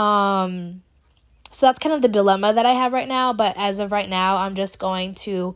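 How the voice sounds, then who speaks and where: The recording is very clean with a silent background. Pitch varies in an ordinary way. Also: woman. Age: 20s. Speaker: podcast host. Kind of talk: casual solo monologue. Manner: animated.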